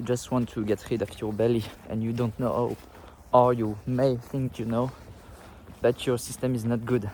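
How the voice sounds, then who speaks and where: A man with a non-native accent speaks in a dark, mellow tone at medium pitch, with monotone, flat intonation. His pace is moderate, broken by long, frequent pauses. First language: not English. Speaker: fitness content creator. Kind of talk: casual vlog talk to camera. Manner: halting, with fillers.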